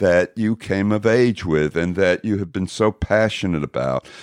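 In an American accent, an ordinary speaking voice moves at a moderate pace with lively intonation, recorded dry and close with no echo against a quiet background. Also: man. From Texas, Dallas. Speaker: podcast host. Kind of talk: interview.

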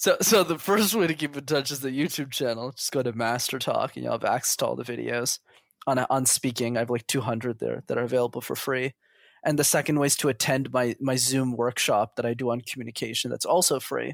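In a very clean, dry, close recording with no echo and a silent background, a man with vocal fry talks at a very fast pace. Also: medium pitch for a man, ordinary pitch variation. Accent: Canadian. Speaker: interview guest. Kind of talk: casual chat.

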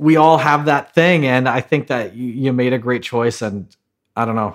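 Here is a man with an unremarkable speaking voice at medium pitch. His pitch variation is ordinary. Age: 30s. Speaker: podcast co-host, hairstylist. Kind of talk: casual interview.

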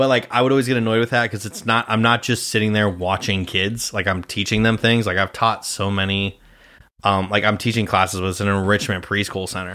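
With an American accent, a man delivers a bright, sharp tone at a fairly low pitch and a fairly quick pace, on a very clean recording with a silent background. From Nebraska, Grand Island. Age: 20s. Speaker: podcast host and actor, guest in this episode. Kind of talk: casual chat. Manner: animated.

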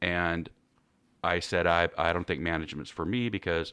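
Over a quiet background, a man with an American accent speaks at a fairly quick pace in a very deep, low pitch. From California Central Valley. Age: 50s. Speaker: financial advisor. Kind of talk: casual interview.

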